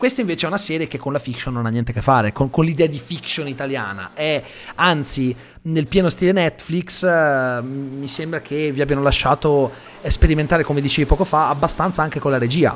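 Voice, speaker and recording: Fairly quick and fairly high-pitched, a man speaks with ordinary pitch variation. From Italy (raised locally, Calabrian family from Lamezia Terme). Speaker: podcast host. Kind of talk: casual interview.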